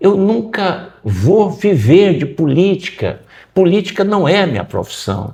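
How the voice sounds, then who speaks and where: A man's high-pitched voice moves at a fairly slow pace with a quiet background. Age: 60s. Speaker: political candidate. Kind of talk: interview.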